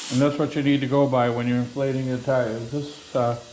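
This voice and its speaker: The speech is monotone with flat intonation, heard over noticeable background noise and audible room echo. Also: man. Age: 70s. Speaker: home mechanic tutorial host. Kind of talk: tutorial. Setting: home garage. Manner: casual, with frequent fillers.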